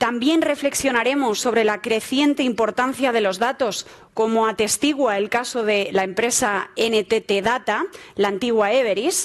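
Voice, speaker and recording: With an ordinary speaking voice, a woman talks at a fairly high pitch and fairly slow pace, her loudness very even and her pitch variation ordinary. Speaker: moderator, tech journalist. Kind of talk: panel moderation. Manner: formal.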